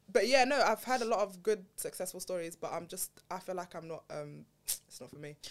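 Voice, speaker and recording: A woman speaks with a London accent at a fairly quick pace and medium pitch. Her intonation is lively, and her loudness swings widely. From Southeast London. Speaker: podcast guest. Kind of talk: casual chat.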